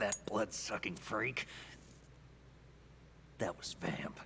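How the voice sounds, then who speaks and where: Over clear background noise, a man speaks very slowly in a raspy, put-on character voice at a fairly low pitch. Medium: video game. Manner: earnest, questioning.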